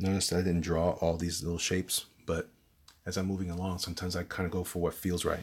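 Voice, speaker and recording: Speaking very fast with a New York accent, a man uses a very deep, low pitch and monotone, flat intonation in a very clean recording with a silent background. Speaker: artist / art tutorial youtuber. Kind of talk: drawing tutorial with live commentary. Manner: casual, hesitant with repetitions.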